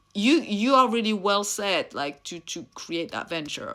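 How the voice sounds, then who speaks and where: In a French accent, a woman talks at a moderate pace and medium pitch. The recording is very clean, with a silent background. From France (Réunion). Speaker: mentor and content creator. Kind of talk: motivational talk to camera. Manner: animated.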